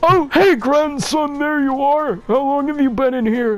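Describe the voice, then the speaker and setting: At a moderate pace, a man performs a put-on character voice with music in the background. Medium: game stream.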